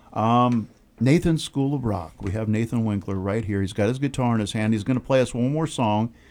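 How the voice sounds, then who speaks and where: This man has an ordinary speaking voice at a medium pitch with ordinary pitch variation. He talks at a fairly quick pace in a very clean recording with a silent background. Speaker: radio host. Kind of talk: casual radio interview chat. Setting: studio. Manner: jokey, relaxed, chatty.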